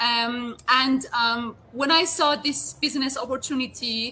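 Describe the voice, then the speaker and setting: The intonation is fairly even, and noticeable background noise runs underneath. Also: woman. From outside Canada. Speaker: network marketing entrepreneur. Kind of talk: casual interview. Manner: halting.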